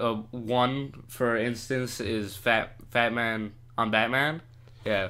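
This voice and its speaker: At a very slow pace, a man with a medium pitch speaks in a bright, sharp tone and fairly even intonation, with audible room echo. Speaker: podcast co-host. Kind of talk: casual chat. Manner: halting, many pauses.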